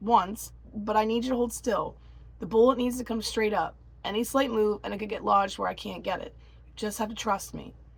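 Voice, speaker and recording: A woman's raspy, put-on character voice at a fairly high pitch, fairly quick pace and big swings in loudness. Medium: read story.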